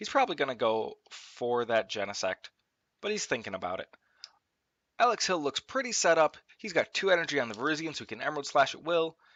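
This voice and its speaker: A man with a fairly high, fry-laden voice speaks at a very fast pace. His pitch swings very widely and his loudness shifts a lot. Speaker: Pokemon trading card game commentator. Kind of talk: sports-style game commentary.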